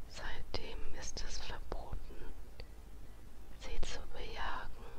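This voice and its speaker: A woman whispers at a very slow pace. Noticeable background noise is audible. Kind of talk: ASMR fact narration. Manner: whispered.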